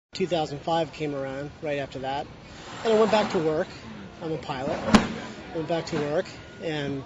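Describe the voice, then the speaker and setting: A man talks at a fairly high pitch, with ordinary pitch variation. Long pauses come often, over noticeable background noise. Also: moderate pace. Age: 30s. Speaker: cancer survivor and amateur athlete. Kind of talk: interview. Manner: halting.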